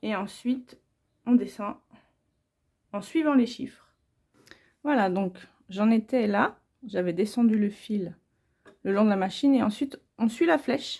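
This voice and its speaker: Speaking fairly slowly with long, frequent pauses, a woman has a fairly high, somewhat breathy voice with a dark, mellow tone and ordinary pitch variation. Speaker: home sewer. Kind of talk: sewing tutorial. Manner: casual, informal.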